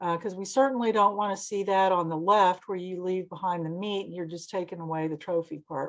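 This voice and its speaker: At a fairly quick pace, a woman with an unremarkable speaking voice and a medium pitch talks over a quiet background. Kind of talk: lecture. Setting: seminar presentation.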